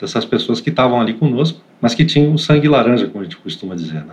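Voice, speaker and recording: Lively intonation carries this man's medium-pitched voice. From Santos, São Paulo state, Brazil. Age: 40s. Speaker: IT operations manager. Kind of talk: interview conversation. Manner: hesitant, many fillers and repetitions.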